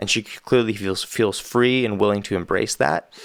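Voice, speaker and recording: On a very clean recording with a silent background, a man with a fairly low pitch talks at a moderate pace and with fairly even intonation. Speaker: musician and music reactor. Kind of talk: casual video review. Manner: casual, hesitant with fillers.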